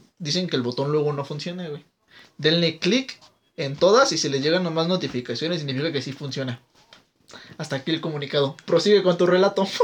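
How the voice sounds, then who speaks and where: Speaking at a fairly quick pace, a man with a fairly high pitch and ordinary pitch variation has a plain, everyday voice. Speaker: podcast co-host. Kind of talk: casual chat.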